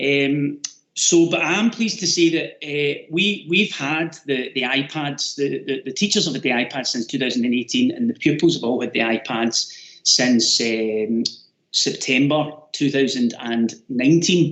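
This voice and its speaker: Fairly high male voice with a Glasgow accent, lively intonation and a moderate pace. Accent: Scottish (Glasgow). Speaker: teacher. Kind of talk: webinar presentation. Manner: loud.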